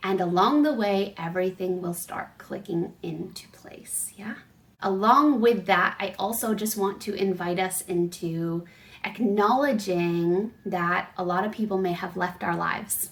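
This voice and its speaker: A plain, everyday voice from a woman, medium in pitch with ordinary pitch variation, big swings in loudness and a fairly slow pace. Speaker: spiritual coach. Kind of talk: casual vlog message.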